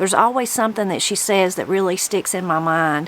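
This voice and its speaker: With a Southern Appalachian accent, a woman speaks at medium pitch with ordinary pitch variation over noticeable background noise. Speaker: video host and interviewer. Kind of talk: intro narration to camera. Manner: casual.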